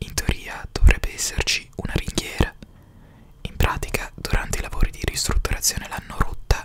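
A soft-spoken man whispers with big swings in loudness, the sound dry with no echo over light background noise. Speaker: narrator, storyteller. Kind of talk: narrative reading, audiobook-like. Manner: soft close-mic whisper. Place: home room. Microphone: studio mic.

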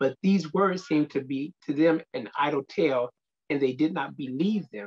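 Over a quiet background, the man keeps a moderate pace and his pitch varies in an ordinary way. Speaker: speaker. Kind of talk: scripture reading and prayer. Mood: reverent, earnest. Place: office. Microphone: webcam.

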